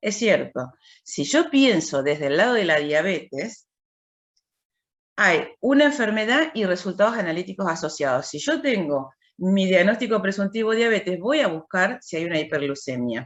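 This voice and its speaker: Her pitch sits in the medium range as this woman's voice moves through very wide pitch swings. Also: moderate pace. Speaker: university lecturer in clinical biochemistry. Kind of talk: lecture. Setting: video call.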